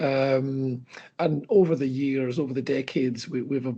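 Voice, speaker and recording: This man's voice sits fairly high and sounds somewhat breathy as he talks at a moderate pace. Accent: Scottish. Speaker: company chief executive. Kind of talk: interview. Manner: halting, many fillers and repeats.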